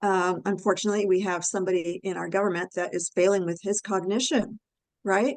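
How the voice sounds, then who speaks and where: Against a quiet background, a woman in a plain, everyday voice talks at a fairly quick pace with fairly even intonation. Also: medium pitch for a woman. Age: 60s. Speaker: health and nutrition expert. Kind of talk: expert interview on a webinar call. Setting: online group call.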